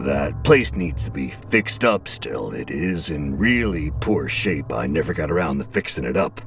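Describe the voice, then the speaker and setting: Clear music plays in the background as a man puts on a husky character voice. He keeps to a moderate pace. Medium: read story. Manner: brusque, folksy.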